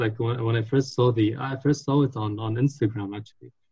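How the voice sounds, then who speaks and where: Intonation stays fairly even. There is a somewhat breathy quality to the voice. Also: man. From Lebanon, Beirut. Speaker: marketing professional at consumer goods company. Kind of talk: casual chat.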